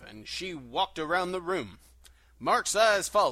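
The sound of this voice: The speaker uses an unforced reading voice. The intonation stays fairly even.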